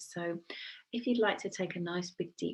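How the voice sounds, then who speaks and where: Soft-spoken and somewhat breathy, a woman talks at a fairly slow pace. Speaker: Reiki practitioner. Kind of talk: guided meditation; casual talk to camera. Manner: hesitant, many fillers.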